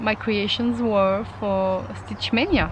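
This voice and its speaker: A woman with a French accent speaks at a fairly high pitch. Her intonation stays fairly even against noticeable background noise. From France. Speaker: craft vlogger, mixed media artist. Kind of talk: casual vlog. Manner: halting, many fillers.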